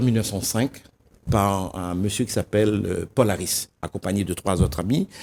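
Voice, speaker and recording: A man is speaking. His pace is moderate. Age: 60s. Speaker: association volunteer official. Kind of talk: TV interview. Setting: TV studio. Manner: hesitant, some stumbling.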